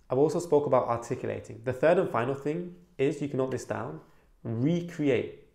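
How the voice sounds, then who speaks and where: With vocal fry and a fairly high pitch, a man talks at a fairly quick pace with ordinary pitch variation in a room with audible echo. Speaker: self-improvement YouTuber. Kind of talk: advice video monologue. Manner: animated, demonstrates quiet and loud voice; louder than he used to speak.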